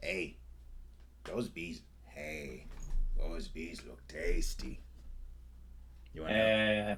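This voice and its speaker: Amid clear background noise, a man puts on a raspy character voice at a very deep, low pitch, moving at a very slow pace with long, frequent pauses. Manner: cheeky, eager.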